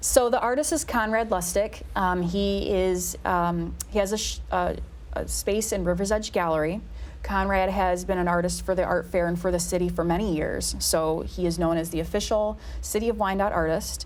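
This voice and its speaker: Audible room echo accompanies a woman talking at a moderate pace. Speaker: city special events staff. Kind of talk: casual interview.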